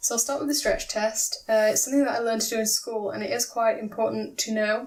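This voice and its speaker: A woman speaks at a very fast pace in a British accent. Her intonation is monotone and flat. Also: fairly high pitch for a woman. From Britain. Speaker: craft video maker, plush pattern designer. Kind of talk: tutorial.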